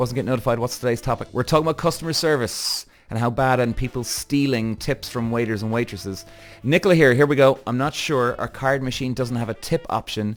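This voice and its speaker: The speaker talks at a very fast pace in an animated tone while music plays in the background. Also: man, medium pitch for a man, ordinary pitch variation. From Ireland, Cork. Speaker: podcast host. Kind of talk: live stream chat reading comments. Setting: live TikTok stream and podcast recording.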